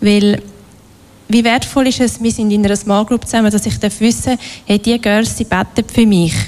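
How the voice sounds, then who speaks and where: Over noticeable background noise, a woman with a fairly high pitch and fairly even intonation talks at a moderate pace. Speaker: workshop leader. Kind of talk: workshop talk.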